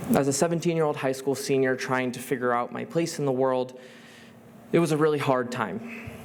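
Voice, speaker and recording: A man with an American accent talks at a moderate pace with ordinary pitch variation. Noticeable background noise runs under his voice. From US, Rochester NY. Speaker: student speaker. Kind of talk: talk to an audience.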